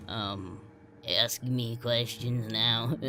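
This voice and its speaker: A man puts on a raspy character voice at a medium pitch, with clear background noise behind him. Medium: read story. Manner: giggling, unsettling.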